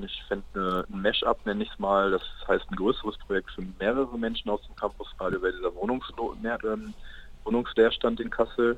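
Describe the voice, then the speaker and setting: Male speech with big swings in loudness, delivered at a moderate pace. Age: 20s. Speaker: university student and campus radio member. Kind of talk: casual interview. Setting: call into radio studio.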